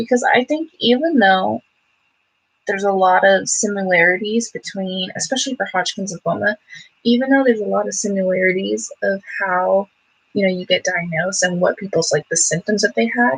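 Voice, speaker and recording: A woman's somewhat breathy voice at medium pitch, with lively intonation, a fairly quick pace, and a dry, close sound free of echo. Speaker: beauty vlogger and cancer patient. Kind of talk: casual livestream chat while doing makeup. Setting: home livestream. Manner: chatty, casual.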